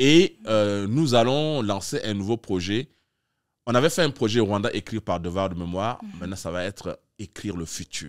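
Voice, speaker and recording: A man's fairly low voice with lively intonation and big swings in loudness, at a moderate pace over a quiet background. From Chad. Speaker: artistic director of a literary festival; guest. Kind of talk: interview. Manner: halting, many hesitations. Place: studio. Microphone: studio mic.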